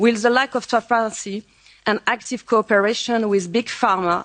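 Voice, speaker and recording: A woman with a French accent speaks in fairly even intonation, the sound dry and close with no echo. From France. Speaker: member of parliament. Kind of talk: conference speech. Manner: halting.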